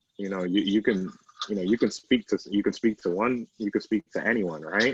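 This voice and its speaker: A man speaks fairly quickly in a fairly low voice, keeping his intonation fairly even. The sound is dry and close, with no echo. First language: Spanish. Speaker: journalist. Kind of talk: interview.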